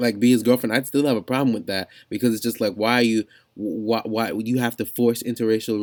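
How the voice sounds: Simply a natural reading voice.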